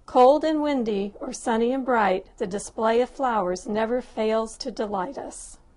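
A woman with an American accent has a normal speaking voice, fairly high in pitch with ordinary pitch variation. She speaks at a fairly slow pace with hardly any pauses. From Southern California (Lancaster, Antelope Valley). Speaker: personal essay writer. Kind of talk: reading aloud a personal essay.

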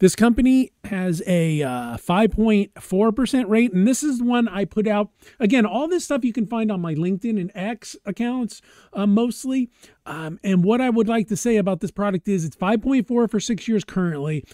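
A man with a dark, mellow tone speaks at a moderate pace with lively intonation. The background is quiet and the sound is dry, with no echo. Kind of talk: screen-share product commentary. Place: home room. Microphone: webcam.

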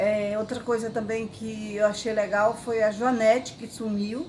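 A woman speaks fairly slowly at a fairly high pitch. There is light background noise. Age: 60s. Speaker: patient giving a testimonial. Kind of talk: patient testimonial. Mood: calm, pleased. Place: garden. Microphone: phone near.

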